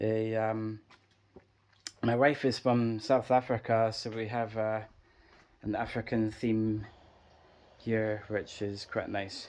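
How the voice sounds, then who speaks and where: In an Edinburgh accent, a man speaks at a very slow pace with long, frequent pauses, at a medium pitch and with monotone, flat intonation. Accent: Scottish (Edinburgh). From Scotland, Edinburgh. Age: 40s. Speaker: gardening vlogger. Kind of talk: casual video tour. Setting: outdoors in garden. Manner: hesitant, many fillers.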